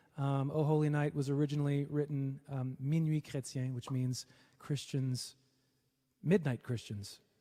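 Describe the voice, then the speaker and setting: A man speaks at a moderate pace in a fairly high pitch, with a dark, mellow tone and a somewhat breathy quality. His intonation stays fairly even, with long, frequent pauses, and the recording is very clean with a silent background. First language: French. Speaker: singer. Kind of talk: casual livestream banter. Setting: livestream.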